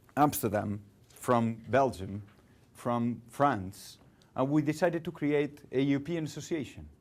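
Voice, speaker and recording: This man has a Catalan accent and a medium pitch. He speaks at a fairly slow pace with lively intonation. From Catalonia, Spain. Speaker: guest lecturer in public relations. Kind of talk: lecture. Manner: halting.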